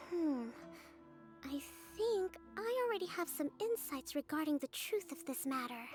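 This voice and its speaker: Over clear background music, a woman uses a high put-on character voice with very wide pitch swings, a moderate pace and long, frequent pauses. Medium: video game. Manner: calm, measured, polite.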